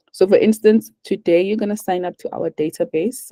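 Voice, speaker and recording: A woman speaks in a calm tone that is dark and mellow, at a moderate pace with ordinary pitch variation. The sound is dry and close, with no echo. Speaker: webinar presenter, virtual assistant agency. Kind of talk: webinar Q&A.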